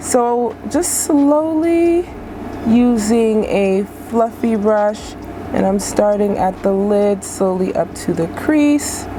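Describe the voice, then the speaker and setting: A woman at a very slow pace, fairly high in pitch, with lively intonation, very even loudness and noticeable background noise. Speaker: beauty vlogger. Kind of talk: makeup tutorial. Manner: casual, chatty.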